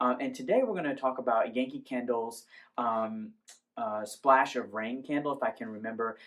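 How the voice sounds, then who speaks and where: Fairly even intonation at a moderate pace. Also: man, medium pitch for a man. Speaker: candle reviewer. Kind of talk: product review.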